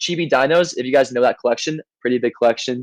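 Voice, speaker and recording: The sound is dry and close with no echo as a man with a fairly high pitch speaks in fairly even intonation. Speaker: NFT game team member. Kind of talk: community AMA voice chat. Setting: Discord voice call. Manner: fast.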